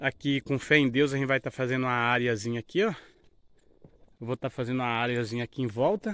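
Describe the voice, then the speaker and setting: Talking at a very fast pace broken by long, frequent pauses, a man shows ordinary pitch variation in a dry sound with no echo. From rural Brazil, born and raised on this farm. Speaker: vlogger, builder of his farm house; vlogger. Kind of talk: casual vlog, home building tour; casual vlog chat. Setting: outdoors on a farm. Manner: informal, filler-heavy. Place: open country. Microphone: phone near.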